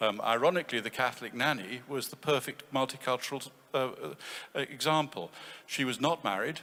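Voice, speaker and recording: In a British accent, a man speaks at a moderate pace with a medium pitch and a bright, sharp tone. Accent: BBC English. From England. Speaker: conference participant. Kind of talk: audience comment in panel discussion. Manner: halting.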